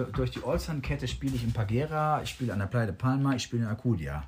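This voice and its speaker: Speaking very fast, a man at medium pitch sounds somewhat breathy. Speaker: professional musician. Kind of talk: casual interview. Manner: hesitant, many fillers.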